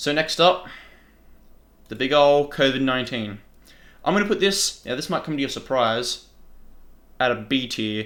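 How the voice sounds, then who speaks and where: A fairly high-pitched man with an Australian accent, lively intonation, a moderate pace and long, frequent pauses. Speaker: YouTuber. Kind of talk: casual commentary.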